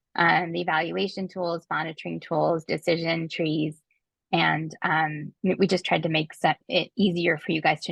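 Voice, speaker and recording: A woman's fairly low voice with vocal fry, moderately paced and fairly even in intonation. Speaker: webinar presenter. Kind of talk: webinar screen-share walkthrough. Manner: hesitant, many fillers.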